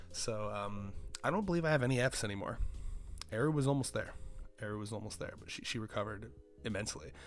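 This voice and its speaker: A man talks at a very fast pace with ordinary pitch variation. The room echo is audible. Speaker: content creator. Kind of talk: casual solo commentary. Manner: soft-spoken.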